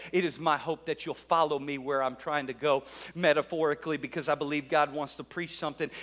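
A man's fairly high voice rushes along at a very fast pace. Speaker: pastor. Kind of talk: sermon. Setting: church. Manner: animated; fervent.

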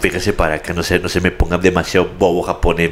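With noticeable background noise behind him, a man speaks in an animated tone at a moderate pace. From Laredo, Texas. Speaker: radio announcer. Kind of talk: casual chat.

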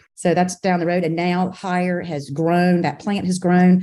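Over a quiet background, a woman speaks at a fairly slow pace in a dark, mellow tone with a fairly low pitch. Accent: Southern US. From South Carolina, Camden. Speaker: business executive. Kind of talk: casual interview.

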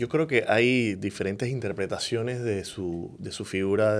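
The recording is very clean with a silent background as a man talks at a moderate pace with ordinary pitch variation. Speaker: podcast co-host. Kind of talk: casual interview. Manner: halting.

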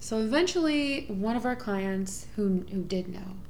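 With an American accent, a woman uses ordinary pitch variation amid noticeable background noise and audible room echo. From Houston, Texas. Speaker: sex worker and musician. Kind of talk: casual chat.

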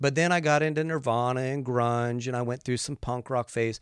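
Here is a man with an ordinary speaking voice, medium pitch, and an American accent, showing ordinary pitch variation. The recording is very clean, with a silent background. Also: dry, close sound with no echo. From West Virginia. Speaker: pastor and musician. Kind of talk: casual interview. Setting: studio.

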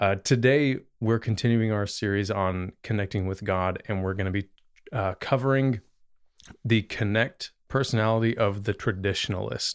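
A man with an unremarkable speaking voice talks at a moderate pace with fairly even intonation, on a very clean recording with a silent background. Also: fairly low pitch for a man. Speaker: podcast host and youth leader. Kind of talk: casual conversational discussion.

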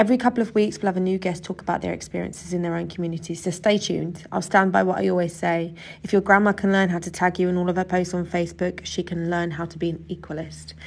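Delivery in a southern English accent runs at a very fast pace with hardly any pauses. The intonation is monotone and flat. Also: woman, fairly low pitch for a woman. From England, Suffolk. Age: 20s. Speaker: podcast host, youth tutor. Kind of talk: scripted podcast introduction.

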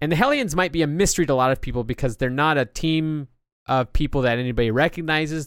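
A man speaks at a very fast pace in a very clean recording with a silent background. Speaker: comic book podcaster. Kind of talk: solo podcast monologue. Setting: alone at a microphone.

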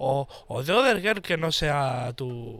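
The speaker is male. His voice has a bright, sharp edge. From Barcelona, Spain. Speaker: podcast co-host. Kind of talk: casual chat.

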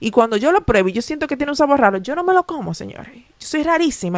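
Very fast and full of very wide pitch swings, a woman races through her words. The sound is dry and close with no echo. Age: 20s. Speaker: podcast host. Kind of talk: casual solo monologue.

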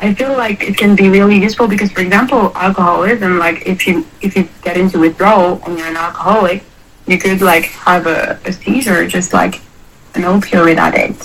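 A woman with a medium pitch talks at a fairly quick pace with ordinary pitch variation over noticeable background noise. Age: 20s. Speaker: young person recovering from addiction. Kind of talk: casual interview. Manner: hesitant, many fillers.

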